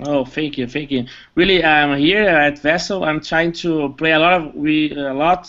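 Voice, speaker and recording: Fairly high-pitched and with fairly even intonation, a man talks in a non-native accent. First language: not English. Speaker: competitive game player. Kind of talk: post-match interview. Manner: halting, many fillers.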